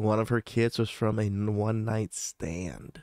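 Speaking with fairly even intonation, a man has a medium pitch. The sound is dry with no echo over a quiet background. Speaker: podcast host reacting to video clips. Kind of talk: casual reaction commentary. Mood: critical, matter-of-fact. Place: home room. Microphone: studio mic.

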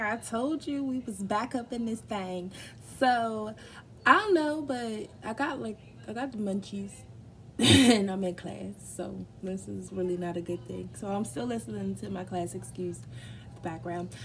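A woman speaks fairly slowly while light background noise is heard. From Baltimore, Maryland. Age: 20s. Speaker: nursing student. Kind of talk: casual mukbang talk to camera. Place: kitchen. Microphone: phone near.

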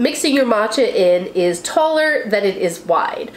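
A woman is speaking against light background noise. Audible room echo hangs on her voice. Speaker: tea channel host. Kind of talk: tutorial. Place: home room.

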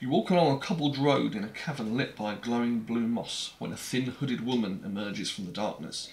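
A man with a British accent speaks with lively intonation. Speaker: board game video host. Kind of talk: casual chat. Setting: home, recorded with action cam. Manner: rambling, hesitant. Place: home room.

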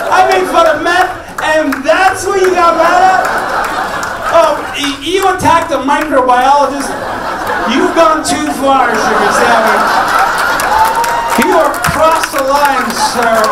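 Over crowd noise in the background, the speech moves at a fairly slow pace with long, frequent pauses and ordinary pitch variation. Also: man. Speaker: stand-up comedian. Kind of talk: stand-up crowd work. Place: stage.

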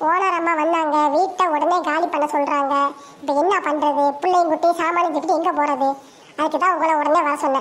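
Her voice is extremely high and flat in a monotone. She speaks at a fairly slow pace over light background noise. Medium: fan dub. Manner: anxious, practical.

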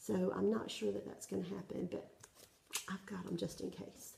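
A woman speaks with a Southern US accent, and audible room echo surrounds her voice. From South Carolina, US South. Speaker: cross-stitch vlogger. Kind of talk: casual show-and-tell vlog; casual vlog chat. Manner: hesitant, many fillers. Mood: friendly, relaxed. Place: home room. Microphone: phone near.

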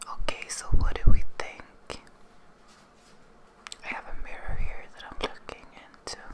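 Whispering at a fairly slow pace, a woman leaves long, frequent pauses, with big swings in loudness. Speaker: beauty ASMR creator. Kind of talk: ASMR video talking to camera. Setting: close microphone, ASMR recording. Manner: whispered, soft-spoken. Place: home room. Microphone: studio mic.

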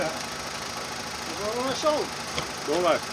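Noticeable background noise accompanies speech delivered at a very slow pace. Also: man. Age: 60s. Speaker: hobby car mechanic and video creator. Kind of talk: casual vlog narration. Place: open country. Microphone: camera far.

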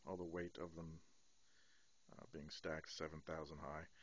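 The man's voice has a dry sound with no echo. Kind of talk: casual vlog chat. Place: home room. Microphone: phone near.

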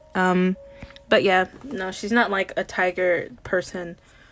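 A woman speaks with faint music in the background. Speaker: digital artist streamer. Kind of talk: livestream chat while painting. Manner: deadpan; flat, little emotion in voice. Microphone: phone near.

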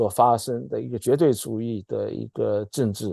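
A man speaks at a moderate pace in a dark, mellow tone, the sound dry with no echo and the background quiet. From mainland China. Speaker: political scientist; political commentator guest. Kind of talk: political commentary discussion. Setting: video call. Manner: halting, many fillers and repetitions. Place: home room. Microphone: earbuds.

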